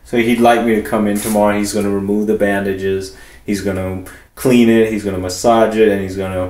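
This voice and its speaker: Fairly quick speech in a monotone, flat intonation comes through with audible room echo. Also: man, fairly low pitch for a man. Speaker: vlogger documenting his hair transplant. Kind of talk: casual video diary. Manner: fast; halting, many fillers.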